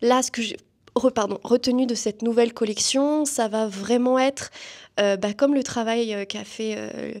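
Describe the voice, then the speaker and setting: Fairly high-pitched, a woman talks at a fairly slow pace. Her intonation stays fairly even. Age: 20s. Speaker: student and performer. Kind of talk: interview. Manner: hesitant, many fillers.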